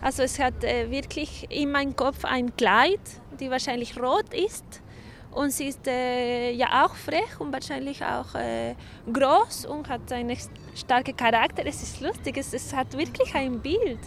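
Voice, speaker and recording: A woman with a Chilean accent speaks at a fairly slow pace. Her pitch is high, with ordinary variation. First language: Spanish (speaking German). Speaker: artist. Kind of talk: interview. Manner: halting.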